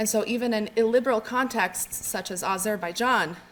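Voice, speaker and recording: Soft-spoken, a woman talks in a fairly high pitch. Her intonation is monotone and flat. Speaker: academic researcher. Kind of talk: conference presentation. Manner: halting, with fillers and repetitions.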